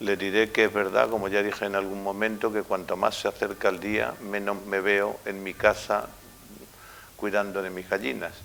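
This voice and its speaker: A man with a normal speaking voice, fairly even intonation and a moderate pace. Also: fairly low pitch for a man. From Spain, Castilla-La Mancha (Valdepeñas). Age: 60s. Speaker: mayor. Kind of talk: interview answers.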